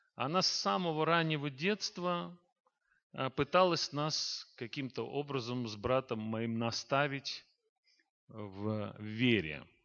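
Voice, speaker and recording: Long, frequent pauses mark this man's very slow speech, delivered at a medium pitch with lively intonation. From Azerbaijan, Baku. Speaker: pastor and saxophonist. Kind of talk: testimony.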